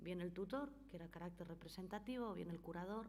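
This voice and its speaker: Amid audible room echo, a woman with a medium pitch and vocal fry talks at a fairly quick pace. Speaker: notary giving a legal talk. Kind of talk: conference talk.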